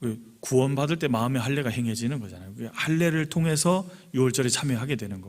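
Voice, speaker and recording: There is audible room echo around a man's medium-pitched voice. He speaks at a fairly quick pace with lively intonation. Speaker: pastor. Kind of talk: sermon. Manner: fast.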